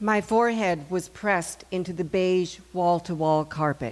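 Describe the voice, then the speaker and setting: Here is a plain, everyday voice. The intonation is fairly even and the pace fairly slow. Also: woman. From Canada. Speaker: actress and storyteller. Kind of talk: live personal storytelling.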